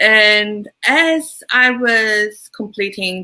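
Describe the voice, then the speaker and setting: The voice carries a Turkish accent. Its tone is bright and sharp. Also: woman. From Turkey, Istanbul. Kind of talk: interview.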